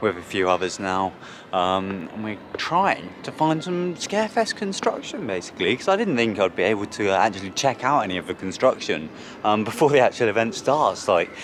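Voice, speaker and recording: Noticeable background noise sits under a man speaking with an English accent. His fairly low voice has lively intonation. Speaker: theme park vlogger. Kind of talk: vlog narration. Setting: outdoors at theme park. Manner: quiet.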